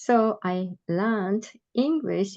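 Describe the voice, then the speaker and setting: Here a woman speaks at a medium pitch with a Japanese accent. The sound is dry and close, without echo. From Japan, Tokyo. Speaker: adult learner leader. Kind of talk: presentation. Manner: slow; halting.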